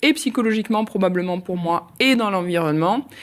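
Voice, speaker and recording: A woman speaks at a fairly quick pace in a normal speaking voice, fairly low in pitch with lively intonation. The recording is very clean, with a silent background. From southern France, Nîmes.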